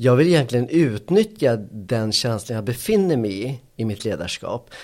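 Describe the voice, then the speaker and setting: Speaking at a moderate pace with lively intonation, this voice comes through on a very clean recording with a silent background. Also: man. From Colombia, raised in Sweden from age six. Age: 40s. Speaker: cognitive therapist. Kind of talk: casual interview, personal life story. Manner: halting, frequent repetitions and fillers.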